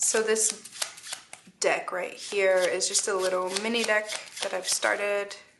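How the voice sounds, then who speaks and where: Long, frequent pauses amid noticeable background noise. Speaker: tarot reader. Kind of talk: tarot reading. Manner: casual, with fillers.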